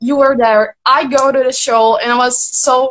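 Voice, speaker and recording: Speaking at a fairly slow pace, a woman with a Brazilian Portuguese accent has a high pitch and fairly even intonation. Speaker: fan. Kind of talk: fan Q&A. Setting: joined live video stream. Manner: halting.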